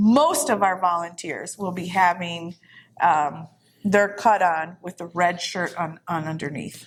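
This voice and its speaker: Talking at a fairly slow pace, a woman uses a normal speaking voice with big swings in loudness. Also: fairly low pitch for a woman, ordinary pitch variation. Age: 60s. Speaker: veterans post commander. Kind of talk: casual interview chat. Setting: in person at a veterans post.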